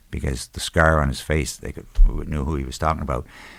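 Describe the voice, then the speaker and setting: A man talks with vocal fry at a very deep, low pitch. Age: 70s. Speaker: bereaved military parent. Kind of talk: interview storytelling. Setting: podcast.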